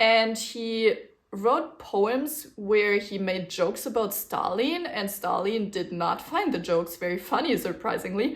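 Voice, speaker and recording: A woman with a German-speaking European accent and lively intonation. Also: fairly high pitch for a woman, fairly slow pace. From German-speaking region, grew up speaking a German dialect. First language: German dialect (Swiss or similar); Standard German second. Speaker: knitting podcaster. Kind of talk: casual chat. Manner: casual, with fillers and self-corrections.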